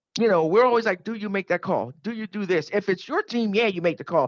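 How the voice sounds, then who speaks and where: Very fast speech with lively intonation and a dry, close sound with no echo. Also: woman. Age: 50s. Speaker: sports podcast co-host. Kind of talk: casual chat. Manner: animated.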